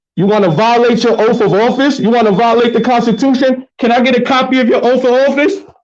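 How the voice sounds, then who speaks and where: With an extremely high pitch, a man talks very fast in an animated tone, his pitch varying in an ordinary way and his loudness very even, with audible room echo. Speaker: sovereign citizen activist. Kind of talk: heated argument. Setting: courthouse, filming on camera.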